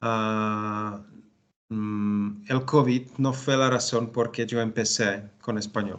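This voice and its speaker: A man is speaking. He has a Czech accent. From Czech Republic, Bohemia. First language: Czech (speaking Spanish). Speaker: language student. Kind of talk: language class conversation. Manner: halting, many fillers.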